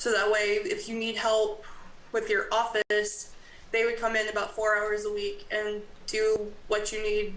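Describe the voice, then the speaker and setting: A woman's fairly high voice with an American accent, monotone, flat intonation and a moderate pace, amid noticeable background noise and audible room echo. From US South. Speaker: college graduate assistant. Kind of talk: presentation at town board meeting.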